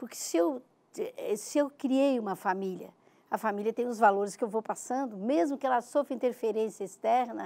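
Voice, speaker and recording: A woman speaks at a moderate pace with ordinary pitch variation and a dark, mellow tone. The recording is very clean, with a silent background. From southern Brazil, Santa Catarina (Tubarão). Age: 70s. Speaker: writer and cultural researcher. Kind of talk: interview.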